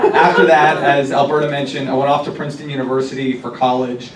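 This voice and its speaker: A man speaks very fast in a monotone, flat intonation at a medium pitch. Noticeable background noise runs underneath. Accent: American. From US Midwest, Cincinnati, Ohio. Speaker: city council member. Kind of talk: talk to a political group.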